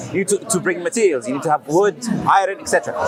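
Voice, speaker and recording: Speaking at a very fast pace with a non-native accent, a man talks over music in the background. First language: not English. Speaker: street preacher. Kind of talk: street debate.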